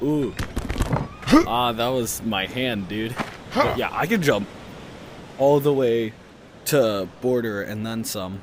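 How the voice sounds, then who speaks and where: Amid noticeable background noise and audible room echo, a man with a medium-pitched voice speaks very slowly with lively intonation. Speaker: gaming youtuber. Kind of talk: gameplay commentary. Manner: hesitant, lots of fillers; trying to talk loud.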